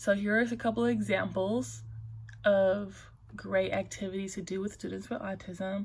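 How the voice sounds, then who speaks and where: A woman speaks at a fairly slow pace with a medium pitch and ordinary pitch variation. Her voice is somewhat breathy and shaky. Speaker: student presenting a case study. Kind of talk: class presentation. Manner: shaky voice.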